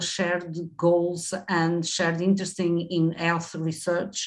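The speaker talks with a Portuguese accent. The intonation is monotone and flat. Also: woman. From Portugal. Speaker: professor. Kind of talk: webinar presentation. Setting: video call. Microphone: webcam.

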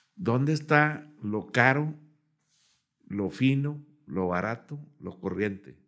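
A man speaks at a very slow pace, leaving long, frequent pauses. The background is quiet. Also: lively intonation. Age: 70s. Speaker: cook and grill enthusiast; podcast guest. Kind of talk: casual chat. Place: studio. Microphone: studio mic.

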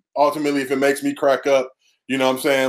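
The background is quiet. A man speaks with a fairly high pitch. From Los Angeles, View Park; Los Angeles. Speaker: comedy writer and former college basketball player; podcast guest. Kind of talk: casual interview chat. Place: home room. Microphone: headset.

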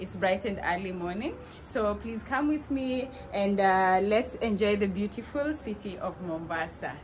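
With light background noise behind her, a woman talks at a moderate pace. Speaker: vlogger. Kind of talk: casual vlog chat. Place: kitchen. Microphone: phone near.

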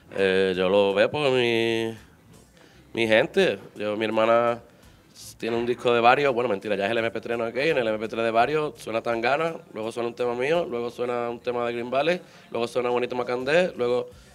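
A man with an Andalusian accent at a moderate pace and medium pitch, with ordinary pitch variation and faint music in the background. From Málaga, Andalusia, Spain; Andalusia, Spain. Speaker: reggae singer; guest. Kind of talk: casual interview. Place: studio. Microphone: handheld.

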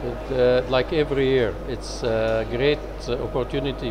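A man speaks over noticeable background noise. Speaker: conference interviewee. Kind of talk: interview answer. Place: hall. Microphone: lapel.

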